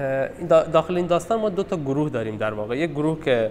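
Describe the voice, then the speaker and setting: A man speaks with a Balochistan accent. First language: Balochi (speaking Persian). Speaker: literature discussion presenter. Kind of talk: talk on a short story at a gallery session. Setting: art gallery meeting. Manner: hesitant, many fillers.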